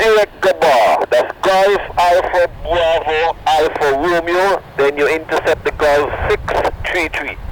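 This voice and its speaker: A high-pitched man with a Caribbean accent, very slow pace and fairly even intonation over noticeable background noise. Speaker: air traffic controller. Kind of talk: radio clearance delivery. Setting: radio scanner recording.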